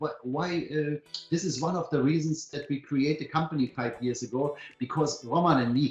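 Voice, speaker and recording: There is noticeable background noise as a man speaks at a moderate pace. His pitch is fairly high, with ordinary variation. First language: not English. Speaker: company co-founder presenting to members. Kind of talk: webinar presentation. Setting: online webinar. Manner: enthusiastic; halting, many fillers and restarts.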